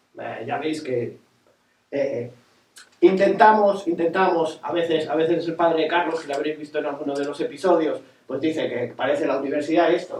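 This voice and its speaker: A man speaks in a fairly high pitch with fairly even intonation. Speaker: nautical youtuber. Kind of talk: casual talk to audience. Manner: fast.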